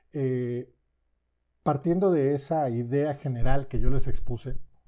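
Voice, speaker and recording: The speaker is a man. He varies his pitch in an ordinary way. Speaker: software developer giving a tech talk. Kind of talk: technical presentation.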